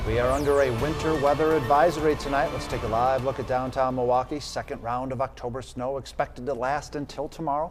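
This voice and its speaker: A man's medium-pitched, flat monotone at a very fast pace, with music in the background. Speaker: television news anchor. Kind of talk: TV newscast anchor read.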